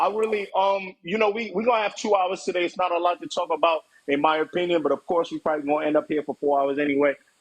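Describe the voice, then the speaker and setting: An animated man talks at a very fast pace. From Nigeria. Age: 20s. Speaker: livestream host. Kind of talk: casual chat. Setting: live stream.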